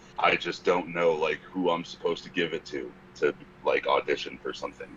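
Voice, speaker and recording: A man talks fairly quickly while noticeable background noise fills the recording. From Connecticut, US. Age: 20s. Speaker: metal band guitarist. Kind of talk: casual interview.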